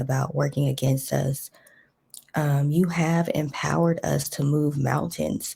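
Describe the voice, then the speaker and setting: Soft-spoken, a woman talks at a fairly slow pace. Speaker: spiritual content creator. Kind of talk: prayer.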